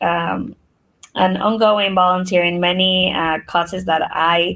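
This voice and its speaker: A woman with a Spanish accent, fairly low in pitch, speaking at a fairly slow pace. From Mexico, moved to Nebraska at twelve. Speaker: nonprofit CEO. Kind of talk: podcast interview.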